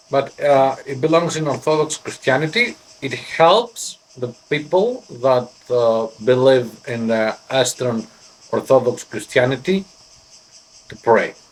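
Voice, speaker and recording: The speaker has a Greek accent and ordinary pitch variation. The pace is fairly slow. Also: man, medium pitch for a man. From Greece. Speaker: pipe smoking vlogger. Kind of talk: casual show-and-tell vlog. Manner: halting, hesitant.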